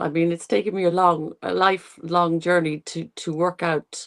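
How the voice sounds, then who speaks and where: A woman with an Irish accent speaks at a moderate pace. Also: dry, close sound with no echo. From Ireland. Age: 60s. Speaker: nutrition and longevity coach. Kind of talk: interview. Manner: halting.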